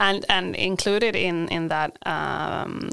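A woman speaks in a Swedish accent with ordinary pitch variation. The recording is very clean, with a silent background. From Sweden. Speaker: university international coordinator. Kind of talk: interview. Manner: halting.

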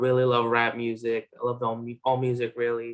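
A man speaks in a New York accent. His voice sits at a medium pitch. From Flushing, Queens, New York (born in Bangladesh, moved at six). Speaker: rapper. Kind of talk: interview. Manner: casual.

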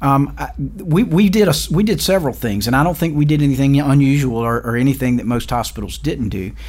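Fairly quick, lively speech in a South Carolina accent, hardly any pauses, with noticeable background noise. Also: man, fairly high pitch for a man. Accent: Southern US (South Carolina). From US South, rural South Carolina. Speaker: hospital chief executive. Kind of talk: interview. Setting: studio. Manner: hesitant, many fillers and repeats.

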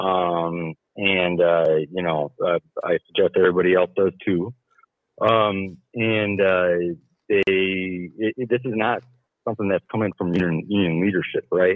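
With fairly even intonation, a man talks in a very deep, low voice. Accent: American. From Milwaukee, Wisconsin. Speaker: caller, union member. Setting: phone call.

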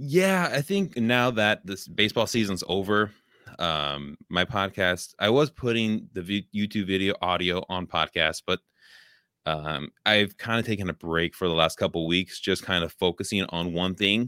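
With a Californian accent, a man speaks at a moderate pace with a fairly low pitch and ordinary pitch variation. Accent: Californian American. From California, Oakland. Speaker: podcaster, hospital educator. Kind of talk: casual chat. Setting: home studio, remote video call.

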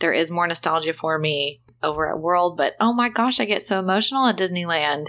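Against a quiet background, a woman with a Texan accent talks at a fairly quick pace in a fairly low voice with a bright, sharp tone. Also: ordinary pitch variation. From Texas. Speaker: podcast co-host and travel advisor. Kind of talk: casual chat.

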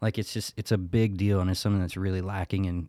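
A man's very deep, low voice with monotone, flat intonation, dry and close with no echo. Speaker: guest co-interviewer. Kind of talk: casual interview chat. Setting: remote call.

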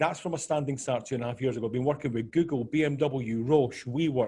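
A somewhat breathy man with a Scottish accent, medium pitch, ordinary pitch variation and a fairly quick pace. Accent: Scottish, noticeable to listeners. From Scotland. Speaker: business consultant. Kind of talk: podcast interview.

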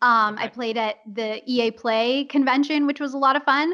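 A woman with a Californian accent speaks in a raised, projected voice that is high, bright and sharp, with fairly even intonation. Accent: General American, Californian. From Los Angeles. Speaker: voice actor. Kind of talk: casual interview.

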